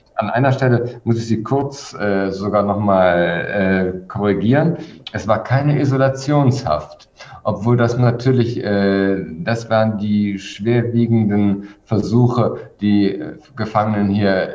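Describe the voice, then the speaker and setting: Against audible room echo, a man talks very slowly at fairly low pitch with ordinary pitch variation. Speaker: guest. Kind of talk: interview answer. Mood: calm, explanatory. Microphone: video call.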